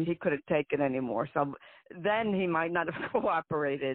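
The pitch of this woman varies in an ordinary way. She speaks fairly slowly. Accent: New Jersey. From New Jersey. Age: 60s. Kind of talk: interview conversation, personal story. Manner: blunt, emphatic.

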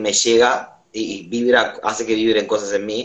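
This is a man's voice. His pitch sits in the medium range. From Cuba. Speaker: musician. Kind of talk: casual interview. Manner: halting.

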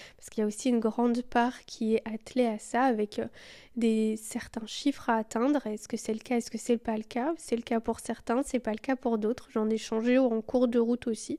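Fairly high-pitched woman, dark and mellow in tone, with monotone, flat intonation at a moderate pace, on a very clean recording with a silent background. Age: 20s. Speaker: podcast host and yoga teacher. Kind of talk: solo podcast monologue.

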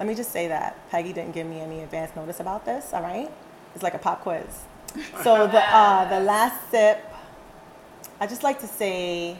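A woman talks with big swings in loudness and long, frequent pauses. Her pitch varies in an ordinary way. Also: medium pitch for a woman, moderate pace. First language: not English. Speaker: yoga and physical education teacher. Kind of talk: casual chat. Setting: recorded at a dinner table.

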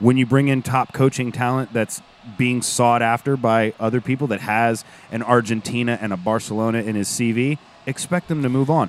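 With a dry, close sound and no echo, a man with a medium pitch and an ordinary speaking voice speaks at a moderate pace with fairly even intonation. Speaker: football fan content creator and voiceover artist. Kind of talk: casual podcast chat about soccer.

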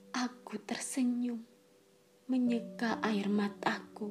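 A very slow, solemn delivery over noticeable background noise. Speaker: audiobook narrator. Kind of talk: literary audiobook narration, first-person historical novel read aloud. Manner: solemn, mournful, emotional, with restrained sorrow; slow, measured, formal literary delivery.

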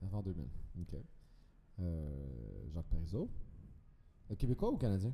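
This man's very deep, low voice has a dark, mellow tone, is somewhat breathy, and carries lively intonation at a fairly slow pace with long, frequent pauses. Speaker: podcast guest. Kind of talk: casual chat.

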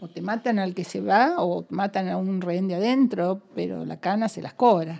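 A woman speaks at a moderate pace, her loudness swinging widely. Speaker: former political prisoner. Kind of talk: interview testimony.

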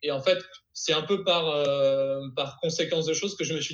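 A man's normal speaking voice, fairly high in pitch with ordinary variation, at a fairly slow pace. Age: 20s. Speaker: YouTuber who learns new skills. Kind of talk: casual interview.

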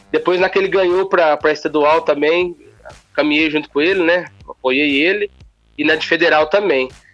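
In a plain, everyday voice, a man talks at a moderate pace with a fairly high pitch and fairly even intonation. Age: young. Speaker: city councillor. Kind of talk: interview. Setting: phone call.

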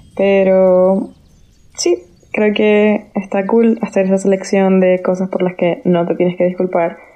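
Her intonation is monotone and flat as this woman talks at a medium pitch. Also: very even loudness. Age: 20s. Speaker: podcast host. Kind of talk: casual solo podcast monologue.

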